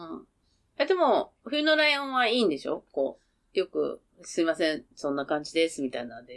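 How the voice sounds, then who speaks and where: The woman talks at a fairly quick pace. Her loudness swings widely. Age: 50s. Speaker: podcast guest, mother of co-host. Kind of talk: casual chat.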